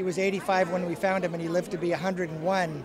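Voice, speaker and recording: Someone speaks with a Pacific Northwest accent while crowd noise carries in the background. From Walla Walla, Washington. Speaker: winery owner. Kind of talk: interview. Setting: wine awards event.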